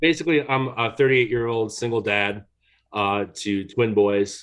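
The man talks fairly slowly at medium pitch. He has a plain, everyday voice. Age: 30s. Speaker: single dad caller. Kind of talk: advice call. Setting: phone call.

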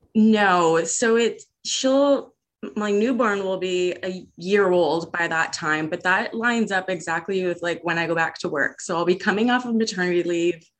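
A woman with a normal speaking voice in a Canadian accent, at a medium pitch and moderate pace, with ordinary pitch variation and hardly any pauses. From Canada. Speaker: caller seeking advice. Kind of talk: casual conversation, personal story. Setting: phone call.

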